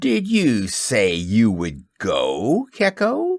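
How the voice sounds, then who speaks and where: At a very slow pace, a man uses a put-on character voice at a medium pitch. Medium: read story. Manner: silky, courteous menace.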